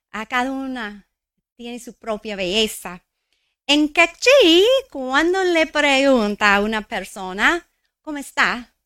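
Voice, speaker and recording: In a very clean recording with a silent background and a dry, close sound with no echo, a woman speaks at a very slow pace in a high pitch, her tone bright and sharp and her intonation lively. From New Mexico. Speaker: local politician. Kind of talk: formal speech. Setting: stage with audience. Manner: halting.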